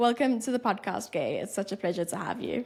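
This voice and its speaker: Her American accent is clear as the woman speaks with ordinary pitch variation. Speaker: podcast host. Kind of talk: interview.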